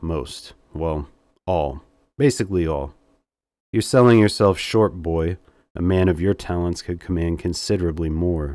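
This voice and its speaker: A man uses a put-on character voice, husky, raspy and very deep and low in pitch. He talks at a moderate pace with long, frequent pauses on a very clean recording with a silent background. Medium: read story. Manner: smooth, seductive.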